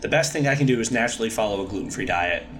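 A man talks with ordinary pitch variation, with audible room echo and noticeable background noise around him. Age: 30s. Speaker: gluten-free brewery owner. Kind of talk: casual interview.

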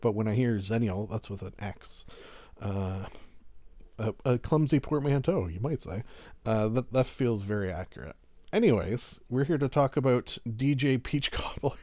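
This very clean recording has a silent background. A man talks at a moderate pace and medium pitch, with a dark, mellow tone and ordinary pitch variation. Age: 40s. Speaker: podcast host. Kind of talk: casual monologue. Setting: recording lying down. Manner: relaxed, lackadaisical.

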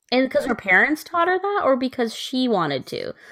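A woman talks at a fairly quick pace in an American accent. Her pitch is high, with very wide swings. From US Northeast, Connecticut. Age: 20s. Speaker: podcast co-host. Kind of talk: casual chat. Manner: animated.

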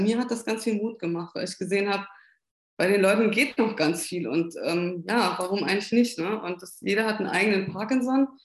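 With a fairly quick pace and ordinary pitch variation, this is a plain, everyday voice. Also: woman. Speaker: Parkinson patient and patient advocate. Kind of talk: interview.

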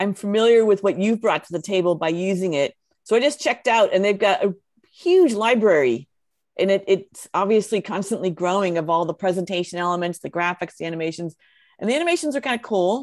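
A woman with a normal speaking voice talks at a medium pitch and fairly quick pace, her intonation lively. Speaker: podcast co-host. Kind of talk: podcast conversation.

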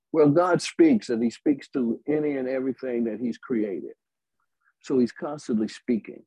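A man's dark, mellow voice with an Alabama accent, medium pitch, ordinary pitch variation and a moderate pace. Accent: Southern US (Alabama). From US South, Alabama. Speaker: gospel music writer. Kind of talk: interview.

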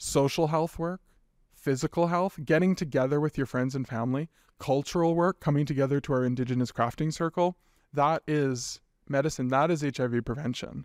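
A man talks at a moderate pace in a normal speaking voice with fairly even intonation, on a very clean recording with a silent background and a dry, close sound with no echo. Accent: Canadian. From western Canada (British Columbia). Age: 30s. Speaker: nonprofit executive director. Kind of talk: interview.

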